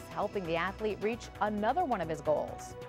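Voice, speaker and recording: Over music in the background, a woman with an American accent talks at a fairly quick pace with lively intonation. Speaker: television news anchor. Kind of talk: television news anchor read.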